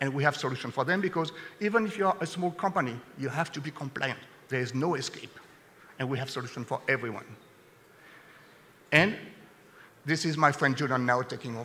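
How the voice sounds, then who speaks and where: Long, frequent pauses break up fairly quick speech in a French accent, with ordinary pitch variation over noticeable background noise. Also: man, fairly high pitch for a man. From France. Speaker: sales executive. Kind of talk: conference presentation.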